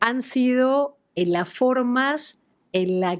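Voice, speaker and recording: Against a silent background on a very clean recording, the intonation sounds lively. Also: woman. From Argentina. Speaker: podcast host. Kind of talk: interview conversation.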